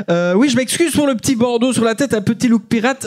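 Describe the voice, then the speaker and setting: A man at a moderate pace with a Liège accent. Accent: Belgian French, Liège. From Belgium, Liège. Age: 20s. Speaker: stand-up comedian. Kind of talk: stand-up. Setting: stage with audience. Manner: animated.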